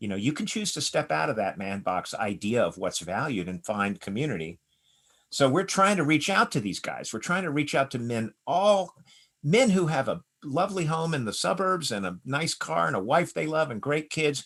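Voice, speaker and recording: Vocal fry from a man at a fairly high pitch, very wide pitch swings, moderate pace. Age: 60s. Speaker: author on masculinity. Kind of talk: podcast interview. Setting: video call. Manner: animated.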